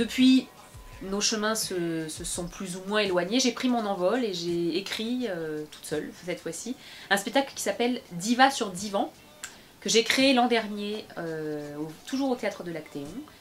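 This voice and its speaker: A woman with a medium pitch speaks at a fairly slow pace with lively intonation. Her loudness swings widely, and there is noticeable background noise. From France, Bobigny (Seine-Saint-Denis, Paris suburbs). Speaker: opera singer and actress. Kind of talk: interview. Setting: studio. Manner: hesitant, many fillers.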